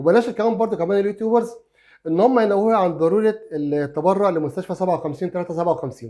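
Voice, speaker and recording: A high-pitched man's voice, dark and mellow in tone, with lively intonation at a fairly quick pace, on a very clean recording with a silent background. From Egypt. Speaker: YouTuber, crime story narrator. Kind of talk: casual vlog monologue. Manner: halting with many fillers.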